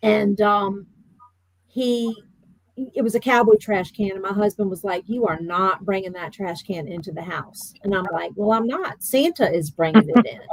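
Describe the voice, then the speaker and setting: Big swings in loudness mark this woman's speech, which has a medium pitch, ordinary pitch variation and a moderate pace. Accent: Virginia. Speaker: bereaved mother. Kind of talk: interview. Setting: podcast.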